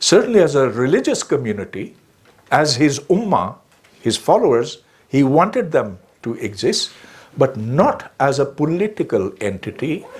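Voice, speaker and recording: A man talks at a moderate pace in a fairly high pitch with vocal fry. His pitch swings very widely. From Pakistan. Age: 70s. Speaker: public speaker. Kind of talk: lecture.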